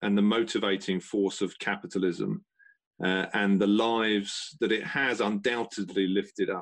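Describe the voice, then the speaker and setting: Fairly even intonation and a fairly slow pace mark this speaker, who talks with a British accent. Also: man. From UK. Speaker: energy consultant. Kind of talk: casual chat.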